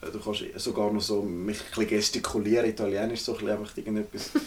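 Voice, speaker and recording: A man speaks with a Swiss accent in a fairly low voice. He goes at a very fast pace with monotone, flat intonation. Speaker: podcast co-host. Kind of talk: casual chat. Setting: indoors in a remote cabin.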